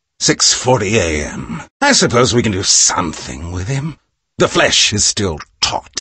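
A man's put-on character voice at medium pitch, with very wide pitch swings and a moderate pace. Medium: video game. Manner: manic, shouting, unhinged.

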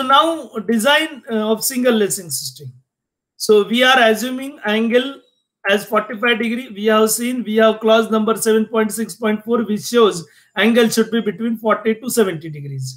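A man talks at a fairly slow pace in a high pitch. The background is quiet. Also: ordinary pitch variation. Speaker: engineering lecturer. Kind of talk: lecture. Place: home room. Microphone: webcam.

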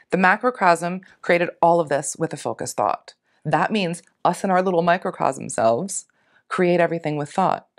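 Against a quiet background, a woman with an American accent speaks at a moderate pace and fairly low pitch, with ordinary pitch variation. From US Northeast, Philadelphia. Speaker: retired naturopathic physician and hypnosis practitioner; interview guest. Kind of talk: interview conversation. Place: home room.

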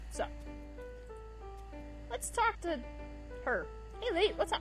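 Over clear background music, a woman talks at a fairly slow pace in a dry recording with no echo. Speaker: gaming video host. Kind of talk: casual let's play commentary. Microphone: headset.

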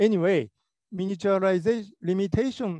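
A man's dark, mellow voice in a Japanese accent, moderate in pace with ordinary pitch variation, dry and close with no echo against a quiet background. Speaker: robotics professor. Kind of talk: lecture. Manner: halting.

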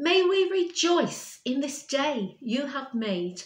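Very slow female speech with audible room echo. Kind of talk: liturgical prayer reading. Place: home room. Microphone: webcam.

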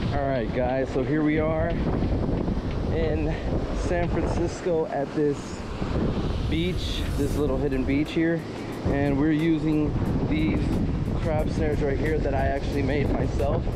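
Over music in the background, the speech moves at a fairly slow pace with long, frequent pauses. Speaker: fishing vlogger. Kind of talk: casual vlog chat. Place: beach. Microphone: phone near.

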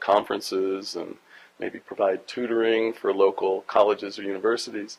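Fairly low in pitch, a man speaks at a moderate pace. His intonation is fairly even. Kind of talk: interview answer. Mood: amused, relaxed. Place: classroom. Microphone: handheld.

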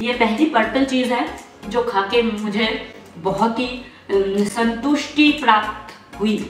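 Very slow speech with ordinary pitch variation, audible room echo and faint music in the background. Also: woman. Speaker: vlogger. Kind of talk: casual vlog chat. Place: home room. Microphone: camera far.

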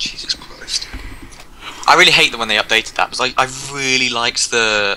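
A fairly quick whisper carries over noticeable background noise. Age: 20s. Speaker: gamer. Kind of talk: gameplay chat. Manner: animated.

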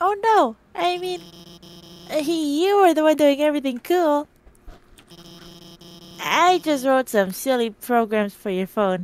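In a put-on character voice, the speaker goes at a fairly slow pace with very wide pitch swings and long, frequent pauses. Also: female-sounding voice, high pitch for a woman. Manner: nervous, earnest, stammering.

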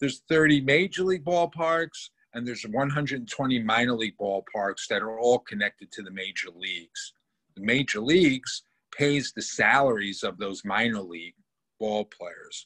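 Lively intonation from a man, moderate pace, big swings in loudness, quiet background. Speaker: guest. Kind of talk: interview answer. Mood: earnest advocacy. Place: home room. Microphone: video call.

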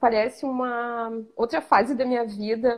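Against a quiet background, a woman with a southern Brazilian accent speaks at a fairly slow pace in a high, monotone, flat voice. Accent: gaúcho. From southern Brazil (Rio Grande do Sul). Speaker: image consultant student. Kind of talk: live stream interview. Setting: live video stream. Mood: reflective, warm. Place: home room. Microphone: video call.

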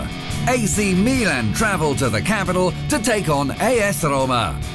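With music in the background, a man speaks at a high pitch with very wide pitch swings. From British. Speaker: voice actor. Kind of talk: sports TV commentary. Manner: loud, energetic.

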